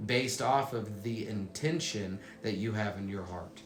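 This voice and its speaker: Over music in the background and with audible room echo, a man talks at a fairly slow pace and a fairly low pitch, with ordinary pitch variation. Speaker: motivational speaker. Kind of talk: motivational talk.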